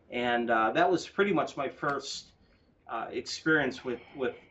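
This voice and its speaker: Speaking at a fairly slow pace with an American accent, a man uses ordinary pitch variation. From US Midwest, Cleveland Ohio. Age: 40s. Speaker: football fan. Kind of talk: podcast conversation. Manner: hesitant, many fillers.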